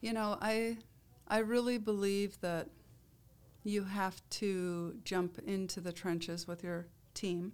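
A woman speaks very slowly with an American accent, her pitch medium and her intonation fairly even. Long pauses come often. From Iowa. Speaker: nurse and healthcare leader. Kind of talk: interview.

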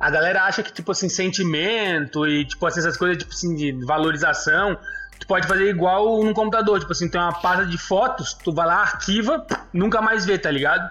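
A man speaks in a raised, projected voice at a fairly quick pace and a high pitch. His pitch variation is ordinary, with noticeable background noise around him. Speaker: podcast co-host. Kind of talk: casual chat.

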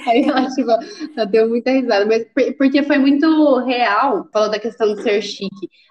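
A woman's high-pitched voice at a fairly slow pace, with ordinary pitch variation and noticeable background noise. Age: 20s. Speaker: recruiting intern turned employee, pedagogy student. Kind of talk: casual interview. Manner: animated.

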